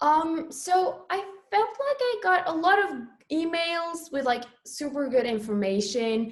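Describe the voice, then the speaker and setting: With a Norwegian accent, a woman speaks at a fairly slow pace in an extremely high pitch that swings very widely. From Norway. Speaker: international student panelist. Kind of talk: panel discussion.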